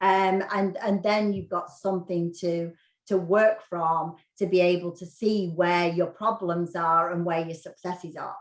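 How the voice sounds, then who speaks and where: In a British accent, a woman talks at a fairly slow pace with a fairly low pitch and monotone, flat intonation. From UK. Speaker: real estate agent. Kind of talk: interview podcast.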